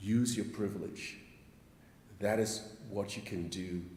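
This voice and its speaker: This man's voice sits fairly low, with fairly even intonation. Room echo is audible. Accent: African. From Nigeria (Edo). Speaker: congregation member. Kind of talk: testimony. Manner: impassioned.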